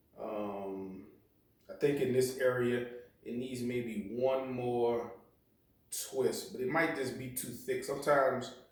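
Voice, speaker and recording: Audible room echo surrounds a man speaking very slowly at a medium pitch, his intonation fairly even. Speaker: bonsai hobbyist YouTuber. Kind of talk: tutorial. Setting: at home. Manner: casual with many fillers.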